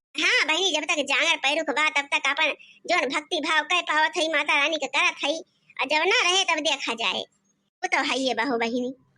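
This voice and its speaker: In a cartoonish character voice, a woman talks high and squeaky at a moderate pace with very even loudness. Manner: warm, gentle.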